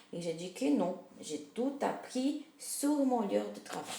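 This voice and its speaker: A woman's voice moves through very wide pitch swings. There is audible room echo and noticeable background noise. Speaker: multimedia community worker. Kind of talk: personal story narration.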